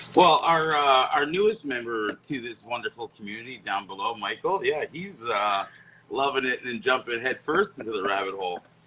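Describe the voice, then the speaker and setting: A Canadian accent at a moderate pace, with very wide pitch swings, big swings in loudness and noticeable background noise. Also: man, medium pitch for a man. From Canada. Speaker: wet shaving enthusiast. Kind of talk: casual chat. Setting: live video stream.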